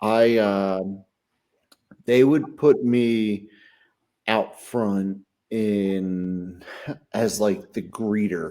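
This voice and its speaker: Speaking very slowly with long, frequent pauses, a man with an American accent uses a fairly low, dark, mellow voice and fairly even intonation. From southeastern Pennsylvania, Chester County. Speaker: podcast co-host. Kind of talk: casual chat.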